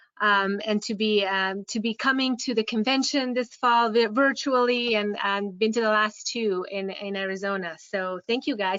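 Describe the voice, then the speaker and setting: A woman speaks with a Hungarian accent at a moderate pace. Her pitch is fairly high and her intonation fairly even. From Hungary. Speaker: care home owner and software presenter. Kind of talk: webinar presentation. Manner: halting, many fillers.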